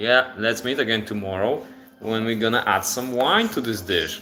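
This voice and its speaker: Audible room echo and noticeable background noise fill the recording. A man speaks at medium pitch with a Polish accent. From Poland. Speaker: cooking livestreamer. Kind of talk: live cooking stream. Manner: casual, halting with repetitions.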